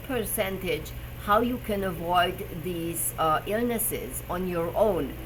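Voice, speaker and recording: Audible room echo mixed with noticeable background noise. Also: woman. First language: German. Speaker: personal trainer and health show host. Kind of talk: live stream talk. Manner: halting, with fillers.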